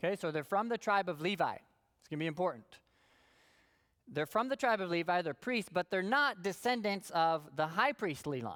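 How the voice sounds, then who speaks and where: In a very clean recording over a silent background, the delivery holds a moderate pace. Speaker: Bible class teacher. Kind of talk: lecture.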